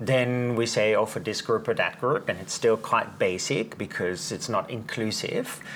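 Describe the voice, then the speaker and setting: A man speaks with a Dutch accent and hardly any pauses. Noticeable background noise runs behind him. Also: moderate pace. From Netherlands. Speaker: Reiki teacher and author. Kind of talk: casual interview about spirituality; guided meditation.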